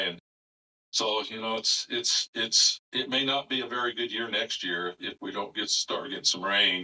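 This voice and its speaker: A man talks in a plain, everyday voice. His pace is moderate, with ordinary pitch variation. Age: 60s. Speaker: retired upland bird hunter. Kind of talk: podcast interview answer. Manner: casual, conversational.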